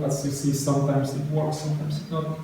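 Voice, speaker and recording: Over noticeable background noise and audible room echo, a man speaks at a moderate pace with fairly high pitch and monotone, flat intonation. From Poland. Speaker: software developer, conference speaker. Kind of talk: tech talk Q&A. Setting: stage with audience. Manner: halting.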